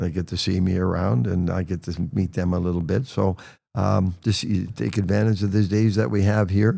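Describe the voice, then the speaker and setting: A man speaks fairly quickly at a very deep, low pitch. His tone is dark and mellow, with vocal fry. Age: 70s. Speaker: hockey head coach. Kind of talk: podcast interview. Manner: halting, many fillers.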